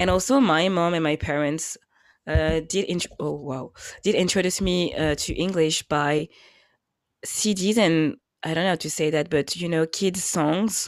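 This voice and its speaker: A woman speaks in a French accent at a fairly slow pace, with a fairly low pitch and ordinary pitch variation. The recording is very clean, with a silent background. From France. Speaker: podcast co-host. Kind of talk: casual chat. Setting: at home.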